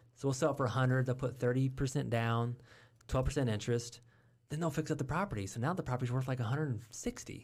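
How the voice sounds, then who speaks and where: A somewhat breathy man at a medium pitch, talking at a very fast pace with fairly even intonation, in a very clean recording with a silent background. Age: 40s. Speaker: real estate investor. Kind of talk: casual interview. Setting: studio.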